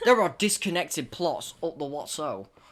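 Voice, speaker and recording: Lively intonation at a moderate pace on a very clean recording with a silent background. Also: man. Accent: English. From England. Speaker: podcast host. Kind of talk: casual chat.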